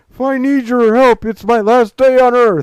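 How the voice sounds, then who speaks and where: Shouting in a put-on character voice at an extremely high pitch, a man keeps a moderate pace. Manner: yelling, angry.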